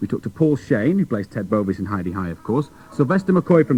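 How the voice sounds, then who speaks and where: A man's fairly high, upbeat voice at a very fast pace, with very wide pitch swings and music in the background. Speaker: radio presenter. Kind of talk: children's radio links.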